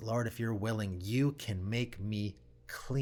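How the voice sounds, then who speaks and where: A man puts on a guttural, growling character voice at a medium pitch. He speaks at a fairly slow pace. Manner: desperate, humble.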